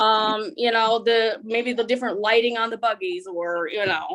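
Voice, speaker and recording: Fairly high in pitch, a woman speaks with a slight German accent. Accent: slight German-tinged twang. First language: Pennsylvania German (Low German dialect). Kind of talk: interview testimony. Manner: halting, many fillers.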